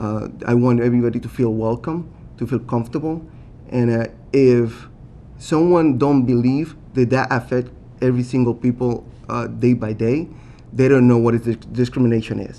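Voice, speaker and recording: A man with a strong Puerto Rican accent, medium pitch, a dark, mellow tone and fairly even intonation. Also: moderate pace. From Puerto Rico. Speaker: city council candidate. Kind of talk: candidate forum answer. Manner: halting, many fillers and restarts.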